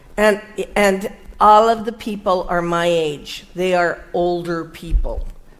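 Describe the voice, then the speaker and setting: A woman speaks at a very slow pace with a medium pitch and fairly even intonation. Noticeable background noise runs behind her. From Italian-American. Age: 70s. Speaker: UFO researcher and photojournalist. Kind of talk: interview through an interpreter. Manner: halting; short phrases paused for translation.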